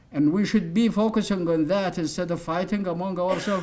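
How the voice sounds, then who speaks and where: With an Arabic accent, a man speaks at a high pitch. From Saudi Arabia. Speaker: human rights activist. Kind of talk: lecture. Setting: stage with audience. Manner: animated.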